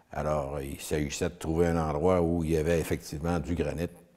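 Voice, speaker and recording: This man has a very deep, low pitch and a dark, mellow tone. He talks at a moderate pace. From Quebec, Eastern Townships. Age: 70s. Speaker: retired granite businessman. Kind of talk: interview.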